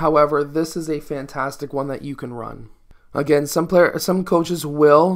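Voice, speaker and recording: The speech keeps a moderate pace. Nothing much sounds behind it, as the background is quiet. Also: man. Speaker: basketball coach. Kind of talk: tutorial. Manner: instructional, explanatory.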